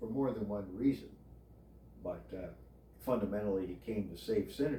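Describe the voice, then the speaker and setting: With vocal fry and a dark, mellow tone, a man talks at a fairly quick pace and a fairly low pitch, using lively intonation and big swings in loudness amid audible room echo. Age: 70s. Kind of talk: casual chat. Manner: halting; formal.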